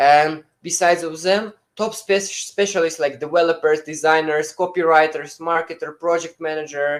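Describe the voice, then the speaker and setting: The speaker has a non-native accent. The pace is moderate, with hardly any pauses. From Uzbekistan. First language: not English. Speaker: webinar presenter. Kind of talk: webinar presentation. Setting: online webinar streamed live. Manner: halting, many fillers.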